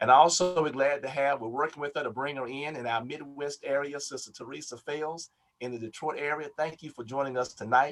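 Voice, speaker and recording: A man's normal speaking voice, fairly high in pitch, with fairly even intonation. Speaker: Baptist preacher, health program director. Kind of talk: webinar hosting announcements. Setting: video call webinar.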